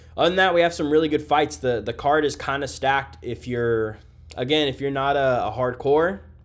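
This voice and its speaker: Using an ordinary speaking voice, a man talks at a fairly high pitch and a fairly quick pace, with ordinary pitch variation. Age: 30s. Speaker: MMA podcast host. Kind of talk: casual solo fight breakdown. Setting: hotel room. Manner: casual, filler-heavy.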